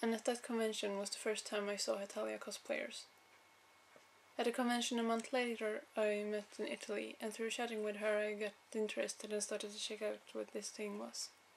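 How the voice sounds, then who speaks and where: In a Swedish accent, a woman with a fairly high pitch speaks with monotone, flat intonation. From Sweden. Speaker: cosplayer. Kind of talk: audition video monologue. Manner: halting.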